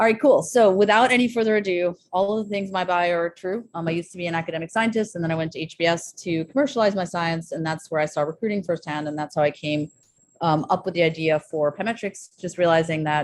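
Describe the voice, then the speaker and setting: A woman with a fairly low pitch talks at a very fast pace with hardly any pauses. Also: ordinary pitch variation. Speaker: neuroscientist and startup founder giving a seminar. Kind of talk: seminar talk. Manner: many filler words, um and uh.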